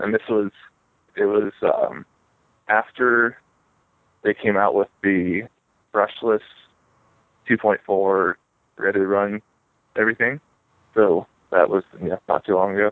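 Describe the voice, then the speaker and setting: A man with a Midwestern US accent talks at a fairly low pitch and a fairly slow pace, with long, frequent pauses, fairly even intonation and very even loudness. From Northeast Ohio. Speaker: RC car racer. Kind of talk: casual interview.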